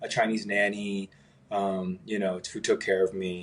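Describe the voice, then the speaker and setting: A man with an American accent at a fairly slow pace. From US West Coast, San Fernando Valley, Los Angeles. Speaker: singer and entrepreneur. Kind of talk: interview. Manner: casual, many fillers.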